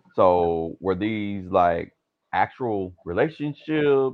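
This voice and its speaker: A man's fairly low voice with very wide swings in pitch. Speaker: podcast host. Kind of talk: casual chat. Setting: recorded remotely, in bed.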